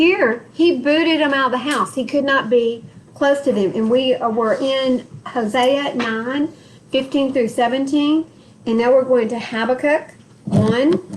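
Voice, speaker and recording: A woman's high-pitched voice with a Texas accent, fairly slow with ordinary pitch variation, over noticeable background noise. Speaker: Bible study teacher. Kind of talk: Bible study group session with scripture reading.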